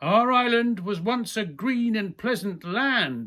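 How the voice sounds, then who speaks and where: A put-on character voice, rumbling and fairly high in pitch, at a fairly slow pace on a very clean recording with a silent background. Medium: read story. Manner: grumbling, complaining.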